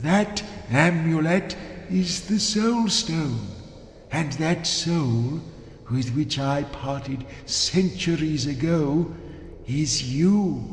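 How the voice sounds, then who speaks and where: A man's put-on character voice, fairly high-pitched and very slow, with long, frequent pauses, slight echo and clear background noise. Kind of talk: solemn fantasy game dialogue. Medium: video game. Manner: grandiose, archaic phrasing.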